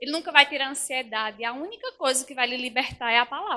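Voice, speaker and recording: In a raised, projected voice, a woman talks fairly quickly at a high pitch, her tone bright, sharp and animated, with ordinary pitch variation. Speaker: preacher. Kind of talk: sermon. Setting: church. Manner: fast.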